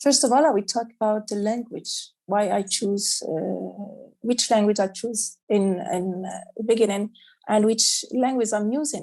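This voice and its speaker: Delivery is fairly slow. The tone is dark and mellow. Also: woman, fairly high pitch for a woman, ordinary pitch variation. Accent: Arabic. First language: Arabic. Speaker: children's author. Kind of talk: panel discussion. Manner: halting.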